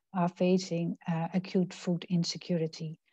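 A woman with a dark, mellow, somewhat breathy voice speaks at a fairly slow pace, with a dry sound with no echo and a quiet background. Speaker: presenter. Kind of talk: presentation. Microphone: video call.

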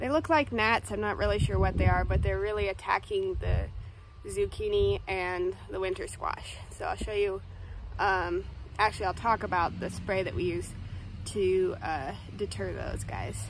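A woman talks at a moderate pace over noticeable background noise. The sound is dry, with no echo. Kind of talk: casual vlog chat. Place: garden. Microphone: phone near.

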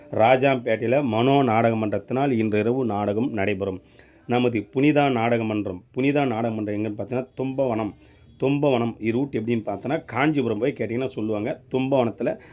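Here is a man with an unremarkable speaking voice. His pitch is medium and his intonation fairly even. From Tamil Nadu, Tiruvannamalai district. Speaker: drama troupe booking organizer. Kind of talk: announcement.

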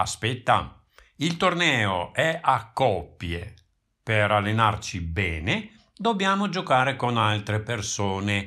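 A man's fairly low voice at a very slow pace, with very wide pitch swings, in a very clean recording against a silent background. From Italy. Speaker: audiobook narrator. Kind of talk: reading aloud. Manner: clear enunciation.

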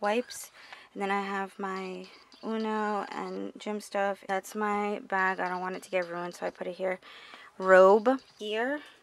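The sound is dry with no echo. A woman talks at a fairly slow pace with fairly even intonation. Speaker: vlogger. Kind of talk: casual vlog chat. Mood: relaxed, casual. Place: home room. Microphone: phone near.

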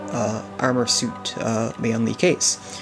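A man's voice over noticeable background noise. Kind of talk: computer hardware tutorial narration. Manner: monotone, subdued, quiet.

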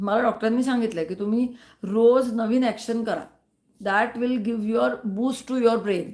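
A woman speaks with a plain, everyday voice, fairly high in pitch and with fairly even intonation. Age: 60s. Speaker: YouTuber. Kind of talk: live stream chat. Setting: live stream.

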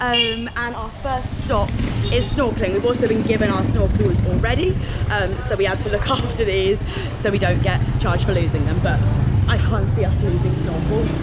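A woman talks at a fairly quick pace. Loud background noise fills the recording. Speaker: travel vlogger. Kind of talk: casual vlog chat. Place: street. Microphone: phone near.

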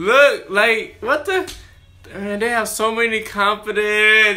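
Over faint music in the background, a man talks at a very slow pace in a raised, projected voice with ordinary pitch variation. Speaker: reaction video host. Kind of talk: casual reaction commentary. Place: home room. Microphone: earbuds.

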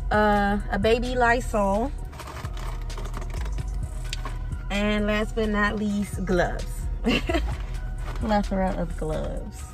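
A woman speaks at a very slow pace, with long, frequent pauses. Clear music plays behind her, and the sound is dry with no echo. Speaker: vlogger. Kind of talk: casual vlog chat. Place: car. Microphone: phone near.

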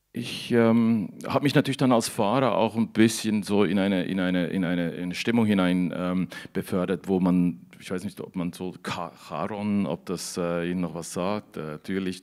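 A man talks in a very deep, low pitch with ordinary pitch variation. He leaves hardly any pauses, and the background is quiet. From Switzerland. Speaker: novelist. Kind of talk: author interview. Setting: studio in a canteen, livestream. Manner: halting, many repeated words. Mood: reflective, thoughtful. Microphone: handheld.

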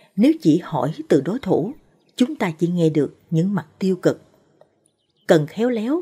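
A woman speaks in a fairly low, dark and mellow voice, somewhat breathy and at a fairly slow pace. Her pitch swings very widely against a quiet background. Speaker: presenter. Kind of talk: narrated advice talk. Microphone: studio mic.

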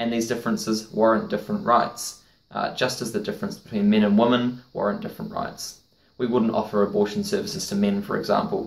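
A man talks very fast, his pitch varying in an ordinary way. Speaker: educational video host. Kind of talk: lecture.

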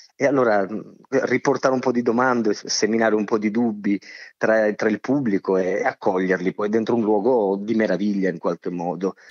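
A man's fairly low voice at a fairly quick pace, with fairly even intonation and very even loudness. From Sicily. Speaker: theatre actor and director. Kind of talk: interview. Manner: halting.

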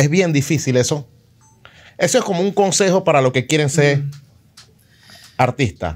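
Speaking at a moderate pace, a man leaves long, frequent pauses. His fairly high voice is somewhat breathy, with ordinary pitch variation. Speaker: DJ and interview show host. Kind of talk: casual interview.

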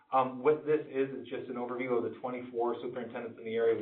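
Over noticeable background noise and audible room echo, a man talks at a very fast pace with fairly even intonation. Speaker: school district administrator presenting budget. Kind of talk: public board meeting presentation.

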